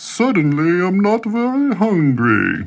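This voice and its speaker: A man uses a put-on character voice with a high pitch. He speaks at a fairly slow pace with very wide pitch swings. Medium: read story.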